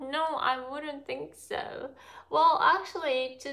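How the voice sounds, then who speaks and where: A woman's raised, projected, high-pitched voice with a bright, sharp tone and a Japanese accent, against a quiet background. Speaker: cooking vlogger doing a livestream. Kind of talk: casual live-stream cooking chat with viewers. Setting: live stream from a home kitchen. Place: kitchen. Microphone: phone near.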